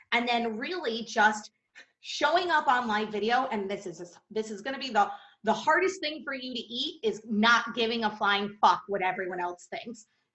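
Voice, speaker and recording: Fairly high in pitch, a woman speaks in an animated tone. Her pitch swings very widely. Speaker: business coach. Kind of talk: podcast interview.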